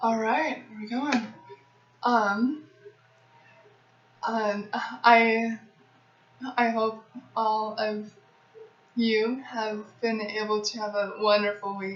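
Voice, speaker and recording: At a very slow pace, a woman speaks in monotone, flat intonation with long, frequent pauses. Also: fairly high pitch for a woman. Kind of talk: casual talk to camera, Q&A. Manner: stuttering.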